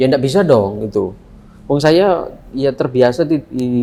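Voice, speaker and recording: A man talks with lively intonation. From Indonesia, Surabaya (East Java). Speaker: philosophy lecturer. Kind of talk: lecture. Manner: conversational, interactive with students.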